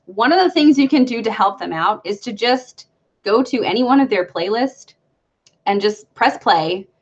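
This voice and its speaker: Here a woman talks at a moderate pace with ordinary pitch variation. She has a plain, everyday voice. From Brooklyn, New York. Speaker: YouTuber. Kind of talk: casual live stream chat. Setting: live stream.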